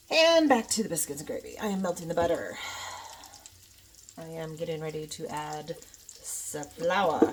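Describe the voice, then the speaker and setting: A woman's fairly low, fairly slow voice with ordinary pitch variation, long, frequent pauses and big swings in loudness, over noticeable background noise. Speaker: home cooking vlogger. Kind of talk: cooking tutorial. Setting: home kitchen. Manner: casual, chatty.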